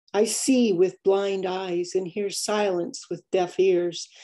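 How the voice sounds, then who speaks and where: Against a quiet background, a soft-spoken woman talks at a very slow pace. Her tone is dark and mellow, her intonation fairly even. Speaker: poet, writing-group member; poet. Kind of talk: poem reading, tribute. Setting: Zoom video call. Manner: soft, gentle, light-hearted. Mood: somber, reflective. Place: home room. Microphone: video call.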